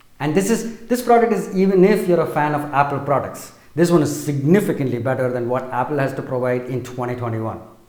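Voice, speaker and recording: A man with a fairly high pitch talks at a very fast pace with hardly any pauses and very wide pitch swings. The room echo is audible. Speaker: tech reviewer. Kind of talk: product review.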